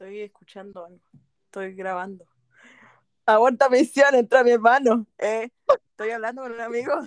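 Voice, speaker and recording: In a Chilean accent, a woman with a fairly high pitch and ordinary pitch variation speaks at a moderate pace, with big swings in loudness and long, frequent pauses, in a dry, close sound with no echo. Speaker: podcast co-host. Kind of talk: casual chat.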